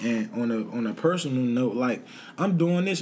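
With an American accent, a man talks at a fairly quick pace at a medium pitch with lively intonation. Room echo is audible. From Washington DC, Southeast. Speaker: entrepreneur and former street hustler. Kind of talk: casual interview chat.

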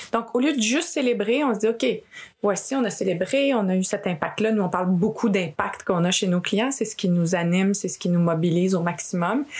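The speech comes at a fairly quick pace in a Quebec accent. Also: woman, medium pitch for a woman, ordinary pitch variation. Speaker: podcast host and executive coach. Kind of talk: interview conversation.

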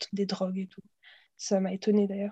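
A woman with a dark, mellow tone and medium pitch sounds somewhat breathy in a dry, close recording with no echo. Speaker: exchange student, podcast co-host. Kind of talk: casual chat.

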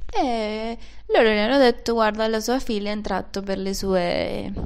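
A woman with a Venezuelan accent speaks at a fairly slow pace, and the room echo is audible. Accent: non-native Italian, Venezuelan Spanish. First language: Spanish (speaking Italian). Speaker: podcaster. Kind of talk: personal monologue. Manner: halting.

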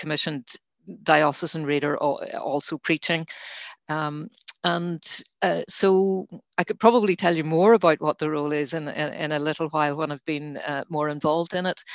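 A woman with a Northern Irish accent speaks at a moderate pace in a very deep, low voice, her intonation fairly even and the sound dry and close with no echo. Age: 60s. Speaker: lay reader. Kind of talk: interview about faith. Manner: halting, many fillers.

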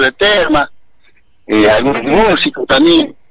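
Noticeable background noise runs under the speech. The intonation is lively and the pace fairly slow. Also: man. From Santiago del Estero, Argentina. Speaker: basket weaver artisan. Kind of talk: casual interview.

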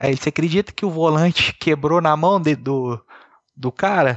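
An unremarkable speaking voice comes at a moderate pace with ordinary pitch variation. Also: man. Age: 30s. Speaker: paraplegic kart driver. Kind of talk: interview.

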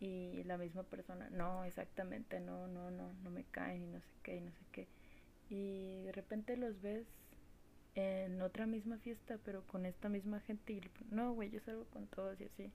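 In a Mexican accent, a woman speaks at a fairly slow pace. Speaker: podcast host. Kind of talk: personal monologue. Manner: casual, slangy.

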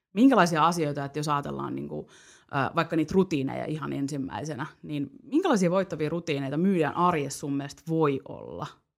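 With vocal fry and ordinary pitch variation, the voice moves at a fairly quick pace in a very clean recording with a silent background. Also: woman, very deep, low pitch for a woman. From Finland, Parkano (Pirkanmaa). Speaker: podcast host. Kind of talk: casual chat.

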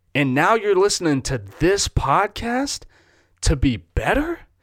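In a very clean recording with a silent background, a man with an American accent speaks at a fairly slow pace in an animated tone, his pitch swinging very widely. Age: 20s. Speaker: podcast host. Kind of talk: solo motivational podcast monologue with a pep talk. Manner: animated, emphatic, fired-up, direct address; conversational, informal, sincere.

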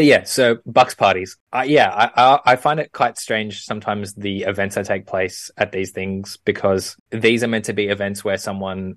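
Against a quiet background, a man talks at a moderate pace and fairly low pitch, with a dry, close sound and no echo. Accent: Australian. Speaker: podcast co-host. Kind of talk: casual chat.

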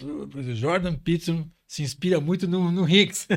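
A man speaks at a fairly slow pace in a somewhat breathy voice. The recording is very clean, with a silent background. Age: 60s. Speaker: business executive. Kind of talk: interview. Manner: halting.

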